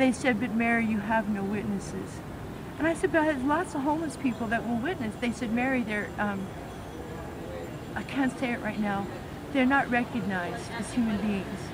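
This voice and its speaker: In a room with audible echo and noticeable background noise, a woman with a fairly high pitch speaks at a moderate pace, using long, frequent pauses. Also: ordinary pitch variation. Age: 60s. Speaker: formerly homeless person. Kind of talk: interview.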